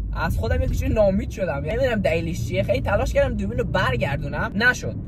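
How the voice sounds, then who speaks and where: A man talks at a very fast pace. Audible room echo and noticeable background noise are present. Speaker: YouTuber / vlogger. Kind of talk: casual vlog while driving. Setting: in a car. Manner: animated.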